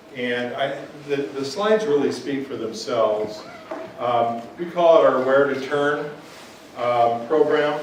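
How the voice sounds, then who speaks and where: A man with an American accent and a fairly high pitch speaks at a fairly slow pace with ordinary pitch variation, amid noticeable background noise and audible room echo. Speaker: pharmacy educator. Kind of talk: guest lecture. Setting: classroom, no microphone. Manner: loud; halting, many fillers.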